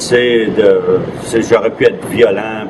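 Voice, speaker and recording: Over noticeable background noise, a man with a medium pitch talks at a fairly slow pace, using ordinary pitch variation. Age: 60s. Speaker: street newspaper vendor. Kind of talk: documentary interview. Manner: halting, hesitant.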